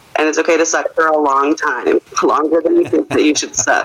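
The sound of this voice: Here a woman speaks low for a woman, with a fairly bright tone.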